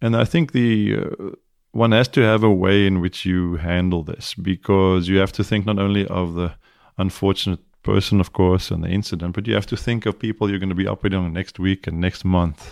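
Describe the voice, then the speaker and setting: A man with a South African accent speaks at a fairly quick pace in a very deep, low pitch, his intonation fairly even. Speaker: neurosurgeon. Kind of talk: interview conversation.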